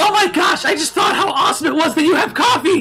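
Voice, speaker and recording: Shouting in a put-on character voice at an extremely high pitch, a man speaks very fast over clear background noise. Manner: ranting, words slurring together.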